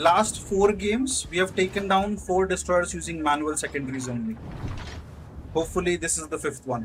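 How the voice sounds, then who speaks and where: Speaking with an Indian accent, a man with a high pitch talks at a moderate pace and with lively intonation. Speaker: gaming streamer. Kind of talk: live gameplay commentary. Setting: at the office. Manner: casual, halting with fillers.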